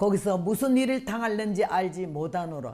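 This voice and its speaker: A woman with a dark, mellow tone, very wide pitch swings and a very slow pace. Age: 80s+. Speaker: missionary revival preacher. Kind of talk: sermon testimony.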